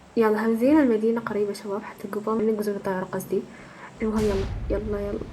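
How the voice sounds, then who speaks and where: A woman with a fairly high voice speaks with long, frequent pauses over noticeable background noise and audible room echo. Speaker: gaming YouTuber. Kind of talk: gameplay commentary. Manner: animated.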